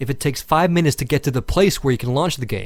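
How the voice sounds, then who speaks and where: Lively intonation marks a man's fairly high, somewhat breathy voice. The recording is very clean, with a silent background. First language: Finnish. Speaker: gaming video reviewer. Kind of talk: scripted narration.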